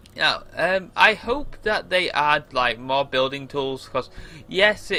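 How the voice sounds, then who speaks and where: Faint music plays as a man speaks fairly slowly at a fairly high pitch, with ordinary pitch variation. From England. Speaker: gamer. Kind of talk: gameplay commentary. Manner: casual, rambling with fillers. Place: home room.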